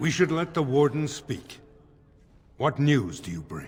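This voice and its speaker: A put-on character voice at a fairly slow pace, with music in the background. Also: man, fairly high pitch for a man. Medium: video game. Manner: formal, dignified.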